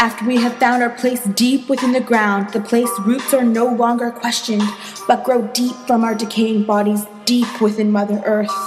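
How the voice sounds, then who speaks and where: Music plays in the background as a woman speaks at a moderate pace with a fairly high pitch. Her intonation is monotone and flat, and her loudness very even. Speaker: university student. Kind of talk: spoken word poetry.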